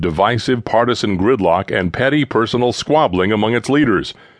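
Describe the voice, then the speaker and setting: Against a quiet background, a man with a plain, everyday voice speaks at a fairly quick pace, fairly low in pitch, with lively intonation. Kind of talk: audiobook narration of a political speech. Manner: formal, earnest and oratorical, with measured, sweeping delivery.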